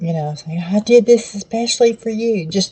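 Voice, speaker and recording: A woman with a Southern US accent has a dark, mellow tone and a somewhat breathy voice. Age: 70s. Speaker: cooking channel host. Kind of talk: cooking tutorial. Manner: casual, conversational.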